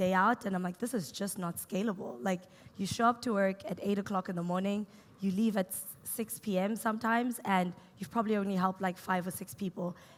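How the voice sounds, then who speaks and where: With a South African accent, a woman speaks at a fairly quick pace and medium pitch, with ordinary pitch variation. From South Africa, Cape Town. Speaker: startup co-founder and CTO. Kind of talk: on-stage interview. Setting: stage with audience.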